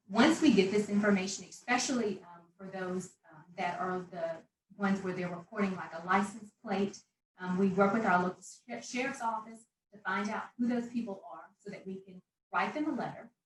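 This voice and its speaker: Medium-pitched woman's voice with ordinary pitch variation, big swings in loudness and audible room echo. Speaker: local government anti-litter program staff. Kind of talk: conference panel presentation. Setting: virtual conference. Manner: fast.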